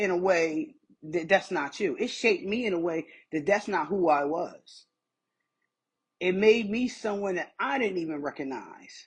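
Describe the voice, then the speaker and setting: Fairly slow speech in an American accent, broken by long, frequent pauses. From small-town US (Whitesboro). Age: 40s. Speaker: author. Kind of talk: social media livestream monologue. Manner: animated.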